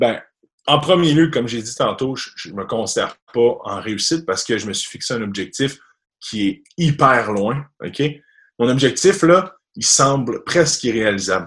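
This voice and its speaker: A man with a plain, everyday voice at medium pitch, fairly slow, with lively intonation and big swings in loudness. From Quebec, rural area near Quebec City. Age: 20s. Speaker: commercial mortgage broker. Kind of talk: interview. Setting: video call.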